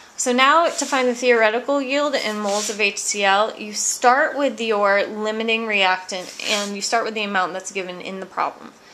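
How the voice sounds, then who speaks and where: A woman with hardly any pauses, over noticeable background noise. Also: fairly high pitch for a woman, ordinary pitch variation, moderate pace. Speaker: chemistry teacher. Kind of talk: tutorial.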